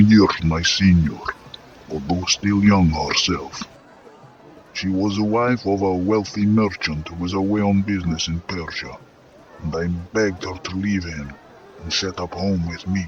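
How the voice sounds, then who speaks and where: Putting on a character voice, a man uses a Russian accent with a guttural, theatrical tone and a very deep, low pitch. His pace is moderate, his intonation fairly even, and his loudness swings widely. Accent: throaty Russian. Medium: read story. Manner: gruff, commanding, theatrical.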